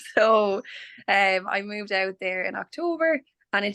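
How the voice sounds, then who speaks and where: The speaker is a woman with an Irish accent. Her pitch is medium. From Ireland, County Clare. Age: 20s. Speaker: nurse. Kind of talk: webinar interview.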